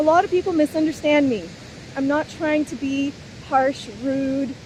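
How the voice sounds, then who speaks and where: Loud and high-pitched, a woman speaks over noticeable background noise. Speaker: spiritual vlogger. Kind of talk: unscripted monologue. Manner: animated.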